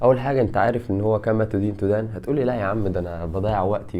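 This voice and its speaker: With an Egyptian accent, a man speaks at a fairly quick pace in a fairly low pitch, with audible room echo. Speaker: YouTuber and fitness content creator. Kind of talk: casual vlog monologue. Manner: animated.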